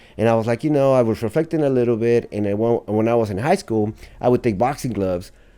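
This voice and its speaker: Speaking with a Spanish accent, a man at medium pitch moves at a fairly quick pace, his dark, mellow tone showing ordinary pitch variation in a very clean recording over a silent background. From Mexico City, then Lake Elsinore, Riverside County, California. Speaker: university dean. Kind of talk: casual interview.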